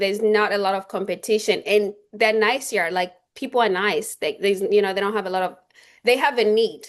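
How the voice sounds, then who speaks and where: Fairly quick delivery comes in a non-native accent. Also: woman. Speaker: real estate agent. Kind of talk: interview. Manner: halting.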